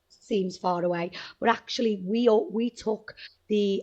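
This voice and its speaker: A woman's medium-pitched voice with a Liverpool accent, a dark, mellow tone and fairly even intonation, against a quiet background. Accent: Liverpool (Scouse). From Liverpool, northern England. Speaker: travel agent. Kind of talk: interview.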